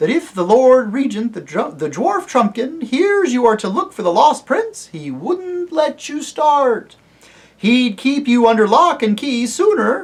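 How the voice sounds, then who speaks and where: Using a put-on character voice, a man speaks at an extremely high pitch and a fairly slow pace. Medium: read story.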